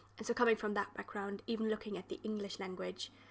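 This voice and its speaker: A woman with a German accent talks at a medium pitch in a monotone, flat intonation. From German-speaking region. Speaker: podcast host. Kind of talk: interview conversation.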